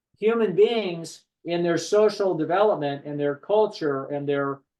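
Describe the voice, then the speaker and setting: Talking at a moderate pace, a man with a high pitch uses ordinary pitch variation. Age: 60s. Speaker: psychologist and therapist. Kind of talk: podcast discussion. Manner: animated.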